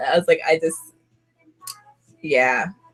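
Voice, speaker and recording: Over music in the background, a woman speaks at a fairly quick pace in a fairly low voice. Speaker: YouTuber doing a livestream chat. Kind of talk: casual livestream chat reading viewer comments. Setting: live video stream with webcam. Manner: halting, repeats words.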